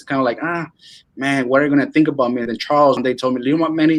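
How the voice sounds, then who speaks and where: The speaker is a man with a Venezuelan accent and a fairly high pitch. The background is quiet. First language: Spanish. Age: 20s. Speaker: real estate wholesaler. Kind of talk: casual interview. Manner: animated.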